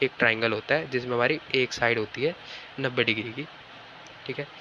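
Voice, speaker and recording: With fairly even intonation and a medium pitch, a man speaks against noticeable background noise. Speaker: online physics and maths teacher. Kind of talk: tutorial lecture. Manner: casual, repetitive fillers.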